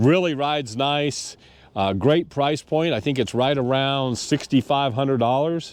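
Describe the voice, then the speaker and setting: A man with an ordinary speaking voice, medium pitch and a moderate pace, against a quiet background. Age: 60s. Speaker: motorcycle vlogger. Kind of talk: casual product review to camera. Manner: casual, many fillers.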